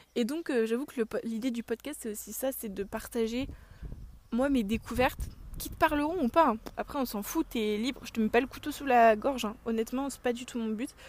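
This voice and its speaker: Her pitch is high, with ordinary variation, and her loudness swings widely. The woman speaks at a moderate pace. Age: 20s. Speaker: podcast host. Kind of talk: casual chat. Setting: outdoors.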